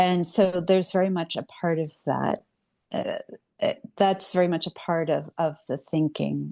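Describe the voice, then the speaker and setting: A woman with an American accent, at a fairly slow pace, in a dry, close sound with no echo, over a quiet background. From Cincinnati, Ohio, US. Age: 60s. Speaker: writer and activist. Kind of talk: interview conversation.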